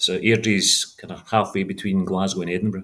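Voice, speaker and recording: The man talks fairly quickly on a very clean recording with a silent background. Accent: Scottish. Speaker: franchise owner, former engineering executive. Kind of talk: interview. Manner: halting, repeats words.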